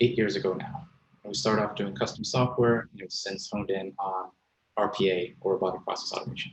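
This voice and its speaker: A man with a fairly low pitch talks at a moderate pace, using vocal fry and ordinary pitch variation. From Sweden. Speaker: software company founder. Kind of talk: panel discussion.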